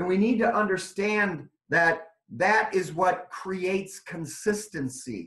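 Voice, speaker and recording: Fairly slow delivery with audible room echo against a quiet background. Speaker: software trainer. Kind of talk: webinar training. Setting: online webinar. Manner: loud. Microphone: video call.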